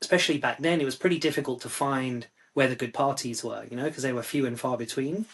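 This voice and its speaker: Ordinary pitch variation marks this man's fairly high-pitched voice. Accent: London. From London, England. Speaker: psychiatrist and music review site founder. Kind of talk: podcast interview.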